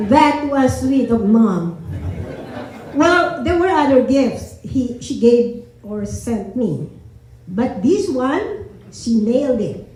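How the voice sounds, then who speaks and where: A woman with a Filipino accent talks at a very slow pace in a high voice, her pitch swinging very widely, with audible room echo and noticeable background noise. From Philippines. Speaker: family member giving eulogy. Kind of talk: eulogy reading. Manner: halting.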